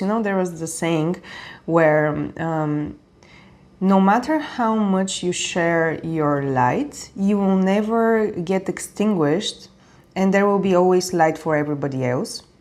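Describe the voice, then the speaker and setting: A woman speaks with a non-native accent at a fairly slow pace. Her intonation is lively. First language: not English. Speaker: tarot reader. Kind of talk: tarot reading to camera. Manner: casual, with fillers and self-corrections.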